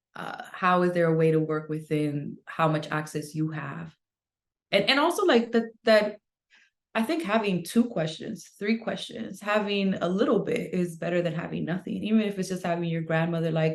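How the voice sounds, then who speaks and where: Speaking with a Spanish accent, a woman talks at a moderate pace in a fairly low pitch with ordinary pitch variation. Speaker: author. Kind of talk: interview.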